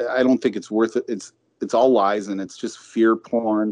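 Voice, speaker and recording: Speaking at a fairly slow pace, this is a man. He has an ordinary speaking voice. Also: dry, close sound with no echo. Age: 40s. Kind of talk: casual chat.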